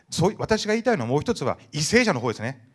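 The speech moves at a very fast pace with very wide pitch swings. The background is quiet. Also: man. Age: 50s. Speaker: merchant ship captain. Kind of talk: audience question at public meeting. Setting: indoor hall with audience. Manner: fast talker. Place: hall.

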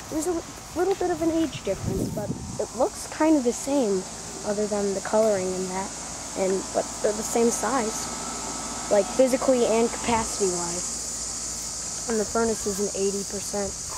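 The speech moves at a moderate pace. The sound is dry with no echo, though noticeable background noise comes through. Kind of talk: casual commentary. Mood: enthusiastic, informal. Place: garden. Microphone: phone near.

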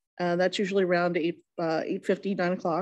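Against a quiet background, a woman is speaking. Her pace is moderate. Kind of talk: meeting chair report. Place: hall. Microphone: podium.

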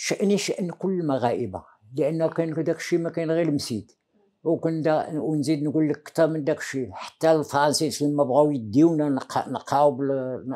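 Ordinary pitch variation and a dark, mellow tone mark speech delivered at a moderate pace. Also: man, fairly high pitch for a man. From Morocco, Taza; Morocco. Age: 80s+. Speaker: veteran independence activist; interviewee. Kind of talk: interview testimony. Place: home room. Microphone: lapel.

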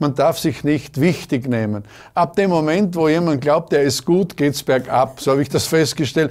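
A man's speech moves at a moderate pace. Behind him, the background stays quiet. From Austria, southeastern Styria. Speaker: schlager bandleader; guest. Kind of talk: interview. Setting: studio. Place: studio.

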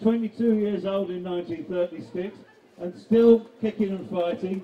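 A high-pitched man keeps a moderate pace and fairly even intonation while noticeable background noise sounds behind him. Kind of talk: rally introduction speech.

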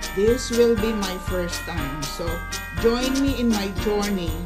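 The speaker talks at a fairly slow pace while clear music plays in the background. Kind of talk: cooking tutorial. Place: kitchen. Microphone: phone near.

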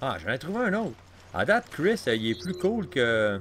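Over light background noise, a man with a Quebec accent speaks at a fairly slow pace, his pitch swinging very widely. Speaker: gaming youtuber; gaming YouTuber. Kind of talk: let's play commentary. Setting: home recording with console near mic. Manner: casual, hesitant with many fillers.

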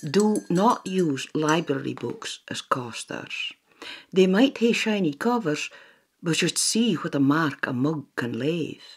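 In a Shetland accent, a woman talks at a very slow pace with a fairly low pitch and very wide pitch swings. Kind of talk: public information narration. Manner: playful, friendly.

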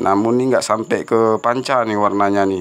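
A man talks in a fairly low pitch. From Aceh, Indonesia. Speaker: gemstone hunter YouTuber; gemstone reviewer. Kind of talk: casual video review. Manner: chatty, with frequent fillers. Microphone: phone near.

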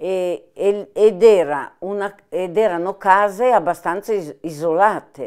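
At a very slow pace with hardly any pauses, the speech carries ordinary pitch variation over a quiet background. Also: woman. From Milan, northern Italy. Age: 80s+. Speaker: former partisan, war witness; interviewee. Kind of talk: oral history interview. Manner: halting, with hesitations. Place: home room.

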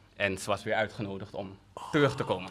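A bright, sharp tone over light background noise. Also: man. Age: 20s. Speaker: podcast host, new father. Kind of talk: casual chat. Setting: studio. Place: studio. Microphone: studio mic.

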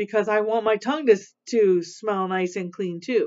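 The speaker moves at a fairly quick pace. The pitch variation is ordinary. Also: woman. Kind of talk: tutorial for kids. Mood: warm, encouraging. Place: office. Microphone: webcam.

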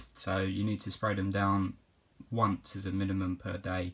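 A man's somewhat breathy, fairly low-pitched voice. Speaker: reptile keeper, reptile shop worker. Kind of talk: casual talk to camera. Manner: hesitant, many filler words.

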